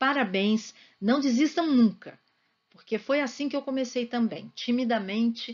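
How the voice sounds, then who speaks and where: Here a woman talks at a fairly slow pace. Her pitch variation is ordinary. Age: 60s. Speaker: school psychologist. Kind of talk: interview answers to students. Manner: talkative.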